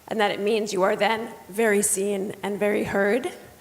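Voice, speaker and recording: There is noticeable background noise. A woman speaks at a fairly high pitch and a moderate pace. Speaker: children's book author. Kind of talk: panel talk. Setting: stage with audience. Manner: halting, many fillers.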